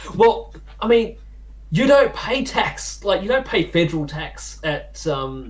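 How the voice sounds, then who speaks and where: This is a man talking. He speaks with an Australian accent. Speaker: political podcast panelist. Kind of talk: casual chat.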